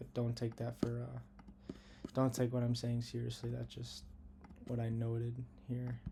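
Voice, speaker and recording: A somewhat breathy man's voice of medium pitch, dark and mellow, in flat monotone intonation with long, frequent pauses. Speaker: day trader. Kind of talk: tutorial. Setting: lying in bed at home. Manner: fast; casual.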